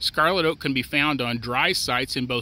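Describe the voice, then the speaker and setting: In a plain, everyday voice with an American accent, the speaker talks at a moderate pace, and the sound is dry with no echo. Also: man. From US Midwest. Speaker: extension forester. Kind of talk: educational tutorial. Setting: outdoors. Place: open country.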